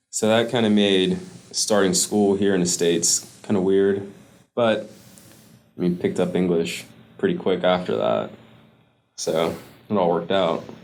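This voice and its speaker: With long, frequent pauses, a man talks in a fairly low pitch and a monotone, flat delivery, his loudness very even and room echo audible. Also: moderate pace. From US, Caribbean immigrant family. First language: Spanish. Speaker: student veteran. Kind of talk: interview.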